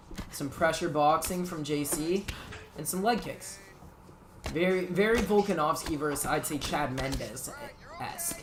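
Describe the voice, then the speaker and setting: The speech moves at a fairly slow pace against noticeable background noise. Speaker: esports tournament commentator. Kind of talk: live commentary. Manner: animated.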